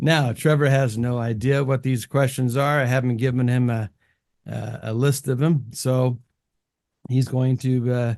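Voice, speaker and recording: Speaking at a moderate pace, a man with an American accent keeps a medium pitch and fairly even intonation. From California. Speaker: music production channel host, interviewer. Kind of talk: casual interview. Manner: hesitant, many fillers.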